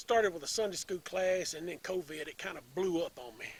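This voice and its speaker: With a Tennessee accent, a man talks at a fairly quick pace using ordinary pitch variation. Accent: Southern US, Tennessee. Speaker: storyteller. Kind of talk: casual talk to audience.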